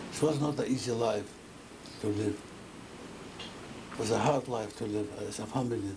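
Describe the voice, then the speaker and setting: A man's medium-pitched voice at a fairly quick pace, with long, frequent pauses, audible room echo and noticeable background noise. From Poland, Kielce. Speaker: Holocaust survivor. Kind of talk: testimony. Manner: halting.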